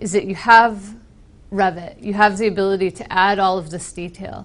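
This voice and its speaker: Speaking at a moderate pace, a woman with an American accent uses a medium pitch. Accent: very American. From US Northeast, Boston. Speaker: software trainer with architecture background. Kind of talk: technical presentation.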